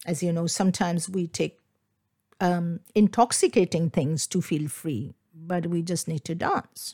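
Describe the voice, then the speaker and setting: A somewhat breathy, dark and mellow voice in a Bengali accent at a fairly slow pace. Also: woman. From India, Kolkata (Bengal). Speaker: dance teacher and podcast host. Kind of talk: solo podcast talk.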